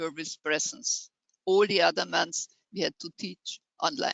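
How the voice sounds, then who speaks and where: Intonation rises and falls in a lively way. There is vocal fry in the voice. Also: woman. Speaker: engineering education society official. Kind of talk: webinar presentation. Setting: online webinar. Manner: halting.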